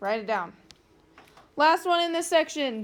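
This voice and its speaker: Lively intonation marks a woman's speech. She talks at a fairly slow pace. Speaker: math teacher. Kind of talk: classroom review lesson. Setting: classroom with students.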